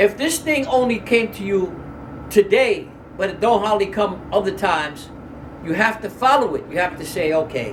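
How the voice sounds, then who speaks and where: Someone speaks at a moderate pace with lively intonation, with audible room echo and noticeable background noise. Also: man, high pitch for a man. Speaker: Islamic religious teacher. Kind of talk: lecture.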